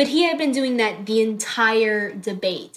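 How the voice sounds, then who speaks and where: A woman with an American accent speaks at a fairly high pitch. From Tennessee, US South. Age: 19. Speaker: poet and student. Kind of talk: casual interview. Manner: light-hearted.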